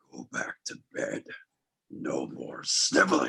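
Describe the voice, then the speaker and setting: A raspy put-on character voice from a man, at a fairly slow pace. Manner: stern, scolding.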